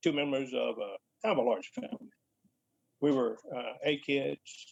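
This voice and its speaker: A man speaks with a Mississippi accent in a dry, close recording with no echo. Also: moderate pace. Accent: Mississippi Southern US. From Mississippi, Benton County. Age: 70s. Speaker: retired deputy sheriff. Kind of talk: personal account. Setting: live-streamed talk.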